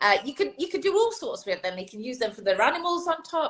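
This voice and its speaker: Her pitch swings very widely. The woman talks at a fairly quick pace. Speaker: early years expert and author. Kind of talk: interview. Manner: fast.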